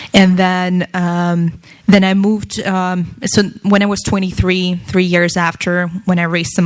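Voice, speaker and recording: With a Russian accent, a woman speaks at a fairly low pitch in a monotone, flat intonation over noticeable background noise. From Russia, Moscow. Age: 20s. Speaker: tech entrepreneur and speaker. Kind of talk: talk to an audience.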